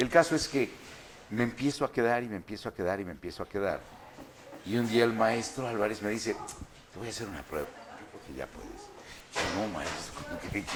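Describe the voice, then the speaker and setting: A man with a medium-pitched voice speaks at a fairly quick pace, his pitch varying in an ordinary way, with long, frequent pauses. Noticeable background noise runs behind him. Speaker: voice actor. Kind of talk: interview answer.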